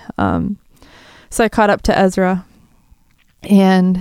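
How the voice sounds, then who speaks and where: A woman with a Wisconsin accent speaks at a medium pitch in a dark, mellow tone, her intonation flat and monotone, with a dry, close sound and no echo. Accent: Upper Midwest (Wisconsin). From Wisconsin, south of Green Bay. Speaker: survivor of a shooting sharing her story. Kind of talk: testimony. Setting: studio.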